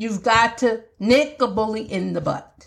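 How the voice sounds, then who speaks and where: A somewhat breathy woman's voice, animated in tone, at a fairly slow pace. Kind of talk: solo podcast monologue, faith-based advice.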